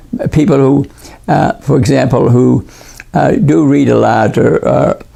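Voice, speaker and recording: Loudness stays very even at a fairly slow pace. Noticeable background noise is present. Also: man. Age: 80s+. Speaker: retired neurosurgeon and wellness author. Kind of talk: casual wellness talk to camera.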